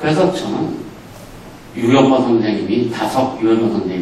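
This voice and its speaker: A man talks at a medium pitch and moderate pace with lively intonation. Audible room echo and noticeable background noise surround him. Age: 70s. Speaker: philosopher. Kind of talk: lecture.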